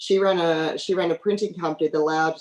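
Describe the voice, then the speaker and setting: A woman's very deep, low voice with an Australian accent and fairly even intonation. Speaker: oil company executive. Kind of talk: panel talk with slides. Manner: hesitant with fillers.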